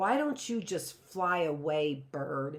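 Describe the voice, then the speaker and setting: A growling, put-on character voice at a middle pitch moves along at a fairly slow pace. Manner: nasty, growling.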